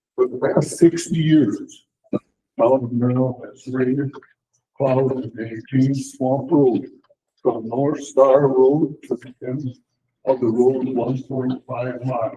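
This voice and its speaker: A man with an American accent, somewhat breathy and dark, mellow in tone, at a very slow pace with monotone, flat intonation and big swings in loudness. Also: medium pitch for a man. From Wisconsin, US Midwest. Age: 80s+. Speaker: resident speaking at public comment. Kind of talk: prepared statement read aloud. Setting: town board meeting.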